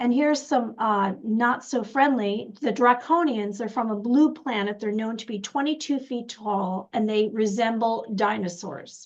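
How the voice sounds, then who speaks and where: A woman with a plain, everyday voice speaks at a fairly slow pace with hardly any pauses. Her pitch is fairly high, with ordinary variation. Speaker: intuitive wisdom coach, show co-host. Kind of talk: casual chat.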